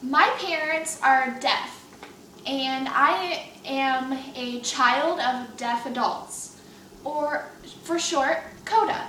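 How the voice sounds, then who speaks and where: A woman projects a raised voice at a high pitch and a very slow pace, with ordinary pitch variation. Audible room echo and noticeable background noise fill the recording. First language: American Sign Language. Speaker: student. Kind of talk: class speech.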